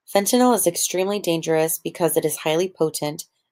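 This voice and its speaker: A woman with a plain, everyday voice and a fairly low pitch speaks with fairly even intonation on a very clean recording with a silent background. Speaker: student. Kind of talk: class presentation narration.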